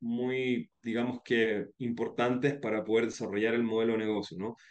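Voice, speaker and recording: At a moderate pace, a man speaks in a flat, monotone intonation. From Chile. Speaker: startup founder and CEO. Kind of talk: interview.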